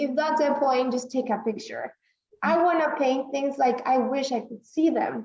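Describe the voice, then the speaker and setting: A woman's high-pitched voice with a Spanish accent and ordinary pitch variation. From northern Mexico, then San Antonio from age 12. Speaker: artist. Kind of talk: casual interview. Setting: video call. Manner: halting, frequent fillers.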